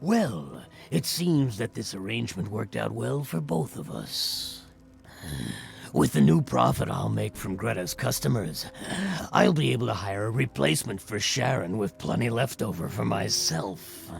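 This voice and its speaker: Putting on a character voice, a man speaks at a fairly low pitch and moderate pace over clear background noise. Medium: video game. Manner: slick, oily.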